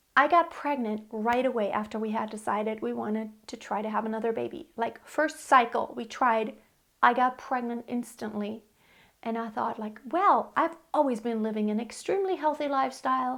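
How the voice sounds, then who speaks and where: Recorded very cleanly against a silent background, the voice moves at a moderate pace with ordinary pitch variation. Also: woman, fairly high pitch for a woman. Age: 40s. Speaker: vlogger sharing fertility journey. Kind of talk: personal testimony to camera. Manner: conversational, halting with fillers.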